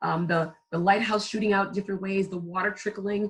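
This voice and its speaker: A woman's somewhat breathy, medium-pitched voice in an animated tone at a fairly quick pace. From US, Caribbean family. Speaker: brand consultant and photographer. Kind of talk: podcast interview. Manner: animated, many fillers and restarts.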